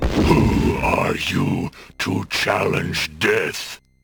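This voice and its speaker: A man growls in a put-on character voice. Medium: machinima. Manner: solemn, formal, archaic.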